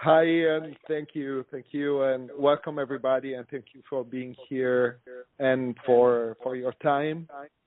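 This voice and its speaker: A man with an Italian accent speaks fairly slowly at medium pitch, his intonation monotone and flat. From Italy, Milan. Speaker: osteopath and workshop instructor. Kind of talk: conference call talk. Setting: phone conference call.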